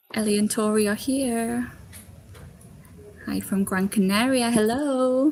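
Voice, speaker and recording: A woman with a Geordie accent talks at a fairly slow pace, leaving long, frequent pauses. Her pitch is fairly high and her intonation fairly even. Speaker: recruiter. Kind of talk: live Q&A stream. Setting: live stream video call.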